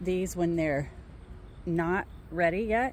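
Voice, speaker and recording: Amid noticeable background noise, a woman speaks in a fairly low pitch. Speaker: hobby gardener sharing tips online. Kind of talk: casual chat. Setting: outdoors in the garden. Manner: halting, stuttering.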